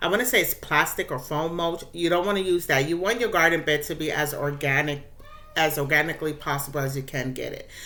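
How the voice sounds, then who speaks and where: Amid audible room echo, a woman with a very deep, low voice speaks very fast with ordinary pitch variation. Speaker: gardening YouTuber. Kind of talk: casual tutorial. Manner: occasionally fumbling words.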